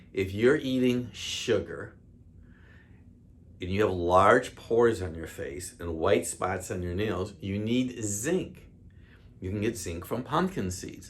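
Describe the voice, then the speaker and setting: A man with a fairly low pitch, somewhat breathy, with lively intonation at a very slow pace. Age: 60s. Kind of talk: health talk to camera. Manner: casual, conversational.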